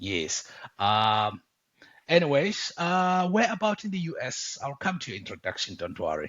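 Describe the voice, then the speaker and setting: With a South African accent, a man speaks at a high pitch and a moderate pace. His pitch swings very widely. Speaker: podcast host. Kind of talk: casual interview chat. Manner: many fillers and hesitations.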